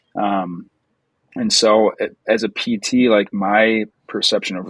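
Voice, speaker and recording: There is no echo, and the sound is dry and close. A man talks in an American accent. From Wisconsin. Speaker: physical therapist. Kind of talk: casual podcast chat.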